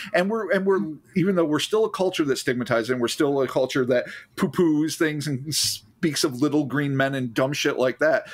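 At a fairly quick pace, a man with a fairly high pitch uses an ordinary speaking voice and ordinary pitch variation. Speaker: podcast co-host. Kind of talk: casual chat.

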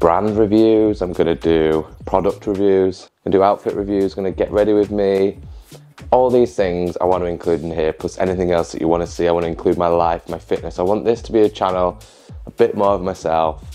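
Over faint background music, a man with a Yorkshire accent speaks at a very deep, low pitch. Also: ordinary pitch variation, fairly quick pace. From Yorkshire, England. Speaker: social media content creator. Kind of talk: casual talk to camera. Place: home room. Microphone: lapel.

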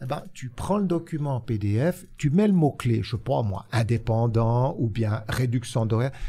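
A man's dark, mellow, somewhat breathy voice at a fairly slow pace, with lively intonation and hardly any pauses. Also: medium pitch for a man. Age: 60s. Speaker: social insurance consultant; guest. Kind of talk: interview. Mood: relaxed, good-humoured. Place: studio. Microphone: studio mic.

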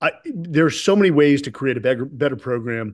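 Against a quiet background, a man talks with a fairly high pitch. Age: 40s. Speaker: retired Navy SEAL officer and author; podcast guest. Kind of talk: interview conversation. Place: home room. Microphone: webcam.

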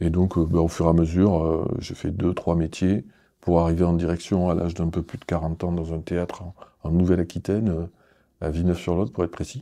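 Over a quiet background, a man with a very deep, low voice speaks in a dark, mellow tone with monotone, flat intonation. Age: 50s. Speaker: arts centre director. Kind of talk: interview. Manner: hesitant, with many fillers. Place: studio.

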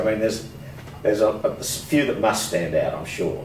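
A man talks with an Australian accent. Noticeable background noise runs behind him. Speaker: interviewer. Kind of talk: oral history interview.

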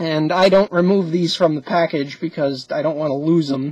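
The tone is slightly mellow with a slightly husky edge. Delivery is at a moderate pace with fairly even intonation.

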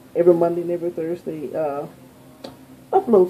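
A woman with an American accent, fairly low in pitch, with fairly even intonation and a fairly quick pace, over light background noise. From New Orleans, Louisiana. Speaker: beauty vlogger. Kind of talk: casual vlog to camera. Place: home room. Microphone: phone near.

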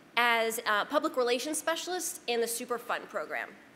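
A woman's high voice, bright and sharp in tone, at a moderate pace with ordinary pitch variation. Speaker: environmental author and former government official; presenter. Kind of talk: panel talk with slides. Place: meeting room. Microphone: podium.

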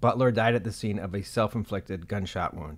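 A man with an ordinary speaking voice, fairly low in pitch with ordinary pitch variation, fairly quick, on a very clean recording with a silent background. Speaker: news reporter. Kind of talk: news reading, scripted, read in a steady, serious broadcast style. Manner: formal, measured, even-paced and neutral.

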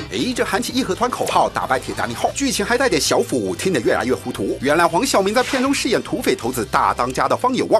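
Music plays in the background. Over it, a man speaks at a very fast pace. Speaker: news narrator. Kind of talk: entertainment news voiceover. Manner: playful, teasing, lively.

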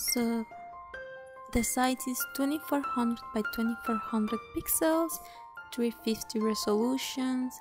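Over music in the background, a woman speaks at a high pitch and a fairly slow pace, with lively intonation and long, frequent pauses. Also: very even loudness. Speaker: digital artist. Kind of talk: software tutorial narration. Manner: casual, hesitant.

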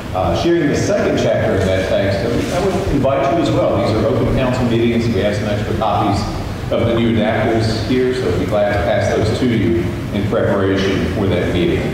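Recorded with strong room echo and noticeable background noise, a man talks at a very even loudness. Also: ordinary pitch variation, fairly quick pace. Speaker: minister. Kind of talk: church announcements. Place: church.

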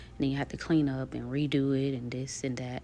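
With music playing in the background, a woman talks in a very deep, low voice with monotone, flat intonation. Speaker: home DIY vlogger. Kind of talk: tutorial voice-over narration.

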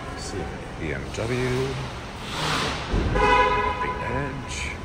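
Loud background noise surrounds a man as he talks. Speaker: car rental vlogger. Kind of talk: casual vlog commentary. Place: garage. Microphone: phone near.

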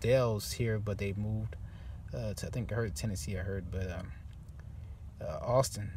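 A man's fairly low voice at a moderate pace, with fairly even intonation

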